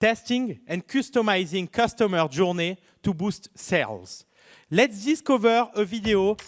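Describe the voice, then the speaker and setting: A man with a French accent talks at a high pitch and a fairly slow pace, with ordinary pitch variation. The recording is very clean, with a silent background. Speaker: startup founder. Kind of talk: pitch presentation.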